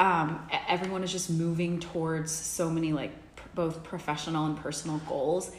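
Against noticeable background noise and audible room echo, a woman with an American accent speaks in a fairly low, monotone, flat voice. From Texas, Dallas. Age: 30s. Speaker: wellness studio marketing head. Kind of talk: casual interview chat.

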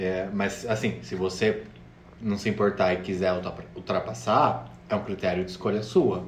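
This man has a normal speaking voice, fairly low in pitch with ordinary pitch variation. He speaks at a fairly slow pace. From interior of São Paulo state, Brazil. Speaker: drag performer and podcast co-host. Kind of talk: casual chat.

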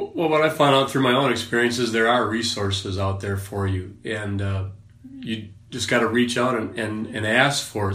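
A fairly quick speaker with an American accent is heard with audible room echo and noticeable background noise. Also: man. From Wisconsin, US Upper Midwest. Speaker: former prison officer, men's ministry leader. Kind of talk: casual interview. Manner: hesitant, many fillers.

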